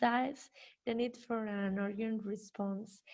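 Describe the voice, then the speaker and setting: A woman with a Spanish accent at a fairly slow pace. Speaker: criminologist and professor. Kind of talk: conference presentation. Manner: halting.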